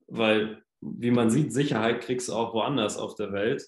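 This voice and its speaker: A man speaks at a fairly slow pace and a medium pitch with ordinary pitch variation. It is an ordinary speaking voice. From northern Germany, Hamburg. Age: 20s. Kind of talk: casual chat.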